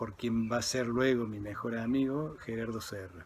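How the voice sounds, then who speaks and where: Fairly even intonation at a very slow pace. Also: man. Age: 60s. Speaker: architect and professor, former scout. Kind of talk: personal reminiscence.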